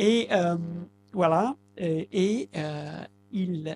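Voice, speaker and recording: A man speaks in a high voice with an Italian accent and ordinary pitch variation. The sound is dry and close with no echo, and music plays in the background. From southern Italy, Basilicata. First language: Italian (speaking French). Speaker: translator. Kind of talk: public talk. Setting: bookshop event with audience. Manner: halting.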